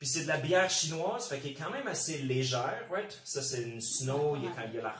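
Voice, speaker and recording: A man's fairly high voice with a Quebec accent, audible room echo and noticeable background noise. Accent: Québécois French. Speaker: channel host. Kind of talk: casual chat. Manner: casual, informal.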